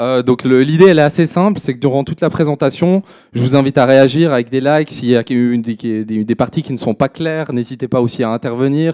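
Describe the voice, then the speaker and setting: Dry and close with no echo, a man's voice carries a dark, mellow tone, ordinary pitch variation, and a fairly quick pace. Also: medium pitch for a man. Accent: slight Swiss French. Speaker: crypto trader and consultant. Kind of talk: conference presentation. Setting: stage at a trading fair with audience. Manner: hesitant, many filler words.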